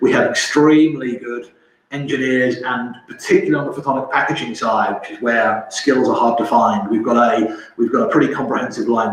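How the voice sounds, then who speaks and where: A man with a London accent talks at a fairly quick pace, with audible room echo and noticeable background noise. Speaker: company representative presenting technology. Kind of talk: webinar presentation. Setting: online webinar. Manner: halting, with fillers and repetitions.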